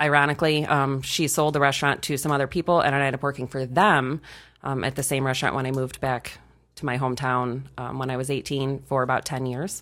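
A woman with a very deep, low pitch speaks at a very fast pace in a monotone, flat intonation. The recording is very clean, with a silent background. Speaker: restaurant worker, guest. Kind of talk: casual chat.

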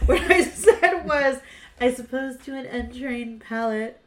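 Using a put-on character voice, a woman mumbles at a moderate pace in a high pitch with ordinary pitch variation. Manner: mumbled, snooty.

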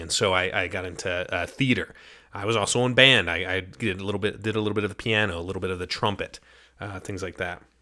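A man with an American accent, fairly low pitch and a bright, sharp tone, at a very fast pace with fairly even intonation, in a very clean recording with a silent background. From New Jersey, then Utah. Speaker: podcast host. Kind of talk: casual solo podcast monologue. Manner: halting, frequent fillers.

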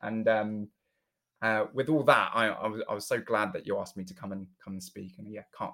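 Big swings in loudness run through a man's fairly quick speech. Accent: southern English. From southern England, Berkshire. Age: 20s. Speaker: charity founder. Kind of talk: interview. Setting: call.

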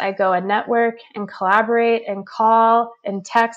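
A woman's calm, fairly high voice with monotone, flat intonation on a very clean recording with a silent background. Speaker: human design reader and intuitive. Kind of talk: casual interview. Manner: calm, grounded.

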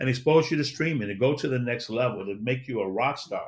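Speaking at a fairly quick pace, a man uses an ordinary speaking voice. His pitch is medium, with ordinary variation. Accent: American. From Chicago. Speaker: motivational speaker and media entrepreneur. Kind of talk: interview.

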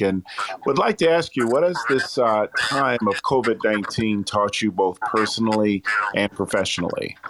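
A man speaks in a plain, everyday voice. His pitch is fairly low and his pace fairly slow. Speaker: radio programmer and co-host. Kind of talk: interview. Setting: audio chat app room.

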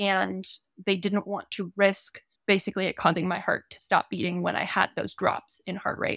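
Recorded dry and close with no echo, a woman speaks at medium pitch and a moderate pace, monotone and flat, with vocal fry. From California. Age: 20s. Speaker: horse trainer. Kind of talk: interview.

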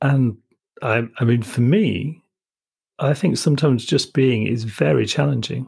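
Medium-pitched man with a Yorkshire accent, somewhat breathy, fairly slow, with ordinary pitch variation and very even loudness. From Yorkshire, northern England. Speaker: podcast host. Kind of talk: interview conversation. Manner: halting.

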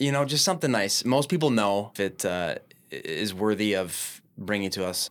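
A man's fairly low, plain, everyday voice with an American accent, lively intonation and a moderate pace, on a very clean recording with a silent background. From Minneapolis, Minnesota. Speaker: business owner. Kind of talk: podcast interview. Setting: studio.

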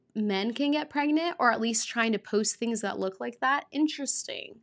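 With an unremarkable speaking voice, a woman talks fairly slowly at a fairly high pitch with ordinary pitch variation, on a very clean recording over a silent background. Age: 20s. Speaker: podcast host. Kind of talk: solo podcast monologue.

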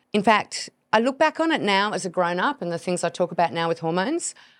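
An Australian accent at a very fast pace, in a very clean recording with a silent background. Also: woman. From Tasmania, Australia. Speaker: podcast host and hormone health expert. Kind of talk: casual monologue.

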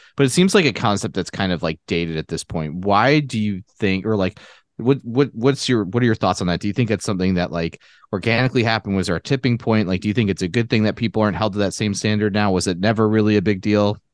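A man with an American accent speaks very fast at a fairly low pitch, with ordinary pitch variation, in a dry, close recording with no echo and a quiet background. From US Midwest, Chicago suburbs. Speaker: podcast co-host. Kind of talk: casual interview chat.

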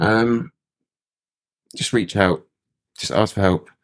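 A man speaks with a British accent. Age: 30s. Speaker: person in addiction recovery. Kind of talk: interview. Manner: halting.

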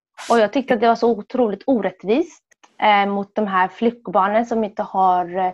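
A woman speaks fairly slowly with a fairly high pitch in a plain, everyday voice. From Sweden, Somali family. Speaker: women's rights activist. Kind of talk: testimony.

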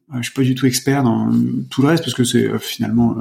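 A man talks at a very fast pace with fairly even intonation and medium pitch. Noticeable background noise is present. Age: 40s. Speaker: personal development practitioner. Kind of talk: casual chat. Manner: halting.

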